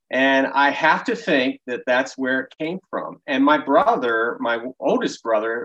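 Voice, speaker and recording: Recorded with a dry, close sound and no echo, a man with a plain, everyday voice talks at a fairly slow pace with ordinary pitch variation. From Baltimore, Maryland. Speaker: small business owner. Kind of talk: interview.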